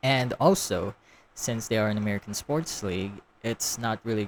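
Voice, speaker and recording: The background is silent in this very clean recording. The voice belongs to a man. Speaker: YouTube reaction commentator. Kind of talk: casual reaction commentary. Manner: halting, filler-heavy; repetitive phrasing.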